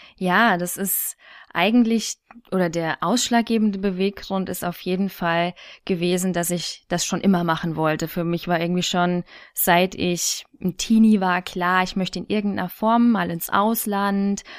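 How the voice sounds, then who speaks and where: A normal speaking voice, delivered at a fairly slow pace with fairly even intonation. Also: woman, medium pitch for a woman. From Thuringia, Germany. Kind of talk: casual interview.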